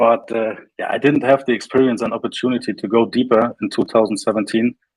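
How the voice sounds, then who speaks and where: A man with a German accent speaks at a medium pitch in a monotone, flat intonation. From northern Germany, Flensburg. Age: 30s. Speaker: crypto company representative. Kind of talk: interview. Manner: halting.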